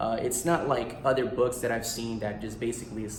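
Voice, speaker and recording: There is audible room echo around a man speaking with an American accent. He talks at a fairly quick pace with medium pitch. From US, Guatemalan family. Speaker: actor and author. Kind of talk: casual promotional vlog. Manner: animated.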